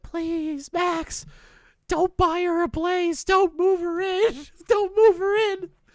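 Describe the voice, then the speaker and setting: This put-on character voice has an extremely high pitch and a very slow pace. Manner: pleading.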